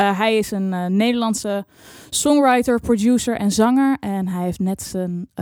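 A woman speaks very slowly in a fairly high voice with a dark, mellow tone. Her pitch varies in an ordinary way. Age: 20s. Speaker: music journalist and radio producer. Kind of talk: casual chat. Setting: studio.

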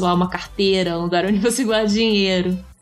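A woman speaks at a fairly quick pace in a monotone, flat intonation and a medium pitch. Noticeable background noise runs underneath. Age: 20s. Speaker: astrologer and podcast co-host. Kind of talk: casual chat.

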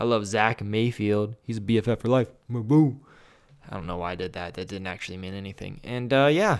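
Over a silent background in a very clean recording, a man with an American accent talks at a fairly quick pace in an animated tone, his pitch varying in an ordinary way. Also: fairly low pitch for a man. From US Midwest, central Ohio. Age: 20s. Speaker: podcast host and filmmaker. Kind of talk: casual solo monologue.

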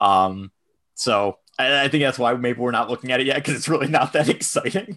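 Here is a man with an ordinary speaking voice in an American accent. His pitch is medium, with ordinary pitch variation. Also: very clean recording, silent background. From Buffalo, New York, US. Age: 20s. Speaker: hockey analytics podcaster. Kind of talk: casual chat.

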